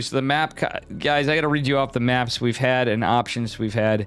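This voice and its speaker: A man with an American accent, medium in pitch and animated in tone, with music in the background. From Upstate New York. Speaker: esports caster / streamer. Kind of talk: live game commentary and chat with viewers. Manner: casual, animated.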